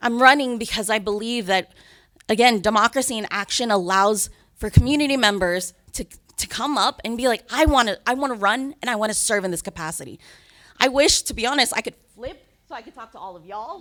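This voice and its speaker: In a bright, sharp tone, a woman talks fairly quickly with a fairly high pitch and an American accent. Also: ordinary pitch variation, big swings in loudness. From New Jersey. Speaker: school board candidate. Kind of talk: campaign speech. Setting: public board meeting.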